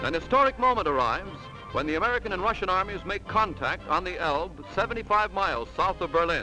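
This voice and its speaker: With music in the background, a man speaks very fast in a raised, projected voice, high-pitched with lively intonation. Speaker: newsreel commentator. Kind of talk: newsreel narration. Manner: dramatic, emphatic.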